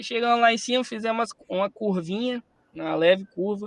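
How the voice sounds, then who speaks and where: This man has a high-pitched voice with ordinary pitch variation. The sound is dry and close, with no echo. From Espírito Santo, Brazil. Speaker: musician and speaker. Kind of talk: storytelling talk. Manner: animated.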